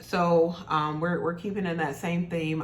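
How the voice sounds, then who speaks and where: Audible room echo surrounds a woman speaking at a moderate pace with a very deep, low pitch. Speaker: beauty and fashion YouTuber. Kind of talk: casual product review vlog.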